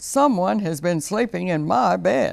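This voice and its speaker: A man puts on a raspy character voice, high in pitch, delivered at a fairly slow pace. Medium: read story. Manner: gruff, harrumphing.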